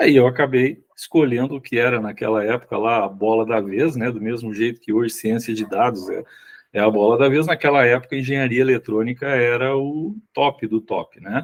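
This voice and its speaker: Moderate pace, ordinary pitch variation, an ordinary speaking voice. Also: man, medium pitch for a man. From Rio Grande do Sul, southern Brazil. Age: 60s. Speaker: sales executive and consultant. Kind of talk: podcast interview. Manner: casual, with frequent fillers.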